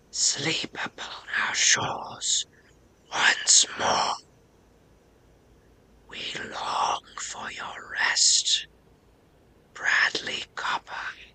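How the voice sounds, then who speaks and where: Someone whispers in a put-on character voice. The pace is very slow. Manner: eerie, whispering.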